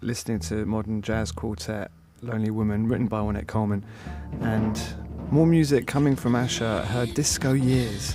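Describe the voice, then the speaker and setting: Music plays in the background as a man with a fairly low pitch speaks at a moderate pace with ordinary pitch variation. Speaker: radio DJ and presenter. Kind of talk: radio interview host. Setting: studio.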